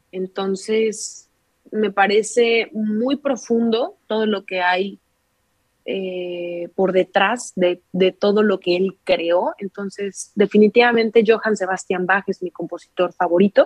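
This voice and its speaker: Here a woman talks very slowly at a medium pitch, her intonation fairly even. The sound is dry and close, with no echo. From Mexico, Querétaro. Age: 20s. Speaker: violinist. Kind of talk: casual interview.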